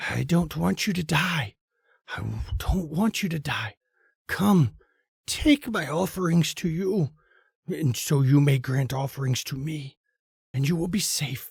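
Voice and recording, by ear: A raspy, creaky put-on character voice at a middle pitch moves at a fairly slow pace. Long, frequent pauses break it up on a very clean recording with a silent background.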